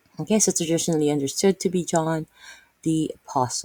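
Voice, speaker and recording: This woman has a very deep, low pitch and a dark, mellow tone. She speaks with a Filipino accent, and the sound is dry and close with no echo. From Philippines. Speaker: Bible teacher. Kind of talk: Bible reading and commentary. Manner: halting, many fillers.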